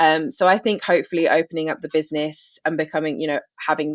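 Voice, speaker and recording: This woman's voice sits very deep and low, moving at a fairly quick pace in a monotone, flat delivery. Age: 20s. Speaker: podcast host and life coach. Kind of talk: podcast interview. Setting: office studio. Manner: conversational, filler-heavy.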